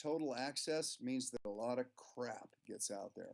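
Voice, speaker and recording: A man at a moderate pace with a normal speaking voice, medium in pitch and ordinary in pitch variation. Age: 60s. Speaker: professional musician and music teacher. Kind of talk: interview.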